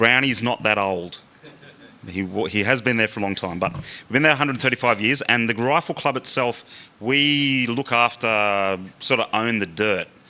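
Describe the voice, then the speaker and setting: The voice has a bright, sharp tone and comes with an Australian accent. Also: man, medium pitch for a man, ordinary pitch variation. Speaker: rifle club official. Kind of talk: public talk. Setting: public meeting with audience. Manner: fast.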